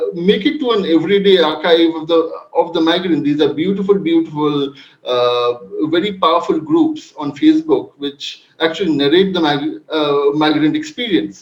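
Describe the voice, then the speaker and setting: This man speaks at a moderate pace with a Bengali accent, his pitch high and its variation ordinary. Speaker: panel speaker, migration researcher. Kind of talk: academic panel presentation. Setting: online video event. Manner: halting, many fillers.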